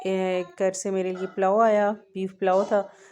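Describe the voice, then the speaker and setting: A woman's medium-pitched voice in a monotone, flat intonation, over noticeable background noise. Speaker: cooking vlogger. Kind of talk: cooking narration. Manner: casual, hesitant.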